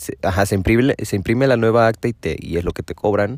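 A man's pitch varies in an ordinary way on a very clean recording where the background is silent. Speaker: podcaster. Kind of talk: casual monologue. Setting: in a parked car.

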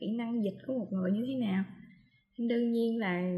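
The woman's voice is somewhat breathy and fairly high in pitch. Her tone is dark and mellow. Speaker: podcast co-host on translation. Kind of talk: casual chat. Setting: video call from home.

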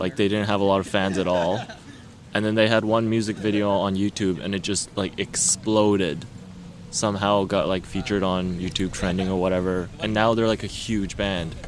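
Here is a man with an unremarkable speaking voice, fairly low in pitch, keeping a moderate pace and fairly even intonation. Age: 20s. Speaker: photographer and engineering student. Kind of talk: casual chat. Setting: outdoors in a park.

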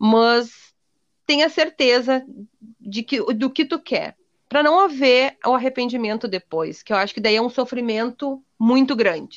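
A woman speaks at a fairly slow pace in a high voice, her pitch varying an ordinary amount. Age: 30s. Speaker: entrepreneur and adoptive mother. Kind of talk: casual interview.

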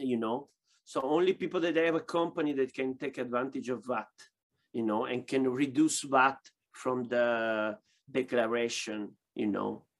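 A man with an Italian accent talks at a medium pitch. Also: ordinary pitch variation, moderate pace. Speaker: boxing glove maker. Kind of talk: interview. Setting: video call. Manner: halting.

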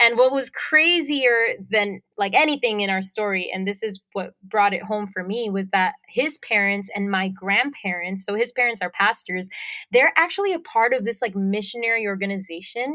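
A woman with a strong Puerto Rican accent talks at a moderate pace, with hardly any pauses, at a medium pitch and ordinary pitch variation. The recording is very clean, with a silent background. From Puerto Rico. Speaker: singer-songwriter. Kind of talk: interview.

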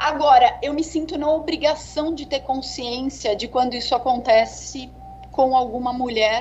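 A high-pitched woman at a moderate pace, with ordinary pitch variation and noticeable background noise. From Brazil, São Paulo. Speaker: tech sales executive. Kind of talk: interview. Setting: video call.

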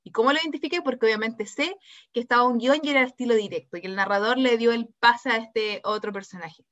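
A woman talks at a very fast pace in a fairly high pitch. Her loudness swings widely, while her pitch variation stays ordinary. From Temuco, southern Chile. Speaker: secondary school language teacher, podcast co-host. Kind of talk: casual educational chat.

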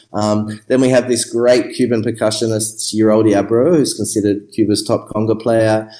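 In an Australian accent, a man with a fairly low pitch and a dark, mellow tone speaks at a moderate pace with monotone, flat intonation. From Australia, Melbourne. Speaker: musician and music producer. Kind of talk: interview. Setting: remote call.

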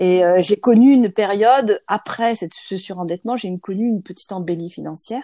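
Against a quiet background, a woman with a dark, mellow tone talks at a moderate pace with ordinary pitch variation, the sound dry and close with no echo. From France. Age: 50s. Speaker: lawyer and trainer. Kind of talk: interview testimony. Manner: halting.

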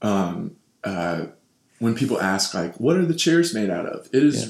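Speaking at a fairly slow pace, a man lets his pitch swing very widely. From Kentucky, Louisville. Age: 20s. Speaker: professional wrestler and preacher. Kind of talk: casual interview.

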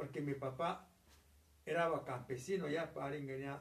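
A somewhat breathy voice at a fairly slow pace, with fairly even intonation and audible room echo. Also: man. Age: 70s. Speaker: grandparent telling family history. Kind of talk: casual chat.

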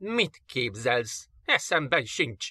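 A man performs a put-on character voice. He growls as he speaks. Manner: angry growl, snarling.

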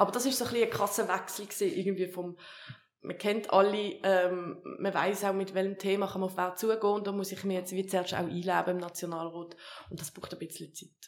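Monotone, flat intonation marks this woman's speech. She talks fairly quickly at a medium pitch. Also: big swings in loudness. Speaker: politician. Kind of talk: interview. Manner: halting.

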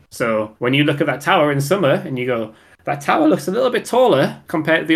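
A man with a Geordie accent races along at a very fast pace, his fairly high voice full of lively intonation. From Newcastle, north-east England. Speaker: podcast co-host. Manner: chatty, casual.

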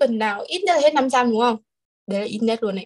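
Her pitch is high, with ordinary variation. The woman's sound is dry and close, free of echo. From Hanoi, northern Vietnam. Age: 20s. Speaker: export company employee. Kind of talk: casual chat.

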